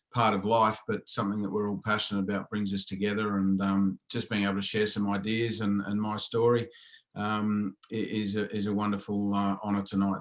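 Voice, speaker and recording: Fairly quick and monotone, with flat intonation, a man speaks at a fairly low pitch. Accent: Australian. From Australia. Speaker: football coach, leadership speaker. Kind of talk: interview. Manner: hesitant, many fillers.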